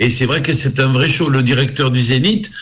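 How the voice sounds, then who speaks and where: Over noticeable background noise, a man speaks at a moderate pace and a medium pitch. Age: 70s. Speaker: singer. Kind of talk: interview. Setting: live show broadcast.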